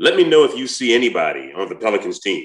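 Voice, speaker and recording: A man speaks in a passionate tone. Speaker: sports radio host. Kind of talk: sports talk commentary. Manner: loud, passionate; tempered, controlled.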